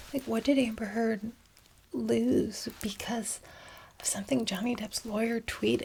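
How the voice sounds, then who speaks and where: A woman is whispering. Her delivery is soft-spoken. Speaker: law graduate. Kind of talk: ASMR ramble. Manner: alternating whispers and soft-spoken.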